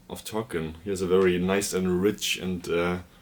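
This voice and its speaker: Fairly slow, monotone, flat delivery over noticeable background noise. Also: man. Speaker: book vlogger. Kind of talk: casual chat. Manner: hesitant, many fillers.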